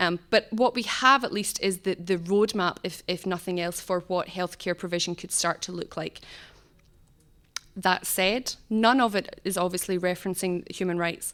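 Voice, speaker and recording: On a very clean recording with a silent background, a woman speaks at a medium pitch with fairly even intonation. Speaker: human rights project coordinator. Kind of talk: conference talk. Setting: conference stage with audience. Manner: fast.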